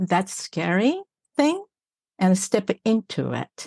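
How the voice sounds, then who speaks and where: Spoken with a Japanese accent, the voice has a dry, close sound with no echo against a quiet background. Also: woman. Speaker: executive coach. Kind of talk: podcast interview.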